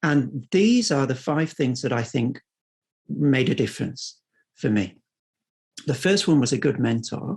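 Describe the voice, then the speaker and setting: Somewhat breathy, a man of medium pitch speaks with a British accent at a fairly slow pace, with long, frequent pauses. His intonation is lively while his loudness stays very even. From UK. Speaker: academic, French philosophy researcher. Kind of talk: seminar talk. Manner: hesitant, many fillers and repetitions.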